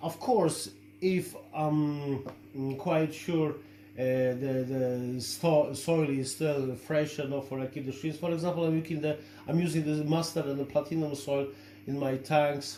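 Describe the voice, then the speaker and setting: A fairly even intonation, with noticeable background noise behind it. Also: man, fairly high pitch for a man. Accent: Polish. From Poland. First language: Polish. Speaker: shrimp-keeping hobbyist and video creator. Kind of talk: product review tutorial. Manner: halting, many fillers.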